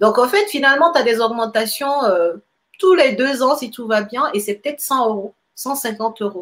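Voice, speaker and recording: This woman has a plain, everyday voice, fairly high in pitch, with ordinary pitch variation. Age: 30s. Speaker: real estate investor and engineer. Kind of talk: interview. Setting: live stream.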